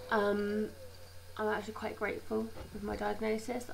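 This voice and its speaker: With a British accent, a woman talks at a moderate pace amid noticeable background noise and audible room echo. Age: 20s. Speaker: healthcare assistant and video blogger. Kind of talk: informational vlog.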